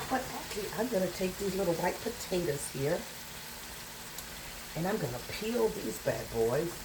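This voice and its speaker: A woman with a Southern US accent swings her pitch very widely amid audible room echo and noticeable background noise. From US South. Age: 60s. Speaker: home cook vlogger. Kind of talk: cooking tutorial. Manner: casual, rambling.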